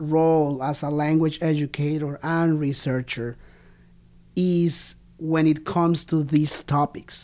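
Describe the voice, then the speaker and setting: A very slow voice with a Spanish accent on a very clean recording with a silent background. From Colombia, Bogota. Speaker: podcast host, language educator. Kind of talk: interview conversation. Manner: halting, many fillers.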